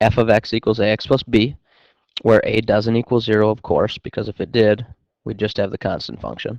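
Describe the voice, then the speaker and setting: A man speaks fairly quickly at a fairly low pitch. His intonation is monotone and flat, and the sound is dry and close with no echo. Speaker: math teacher. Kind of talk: recorded lesson. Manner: fast.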